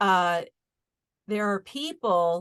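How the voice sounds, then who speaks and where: Her pitch varies in an ordinary way as this woman speaks at a very slow pace. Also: quiet background. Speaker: spiritual talk show host. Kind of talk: casual spiritual chat. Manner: loud, fired up; animated.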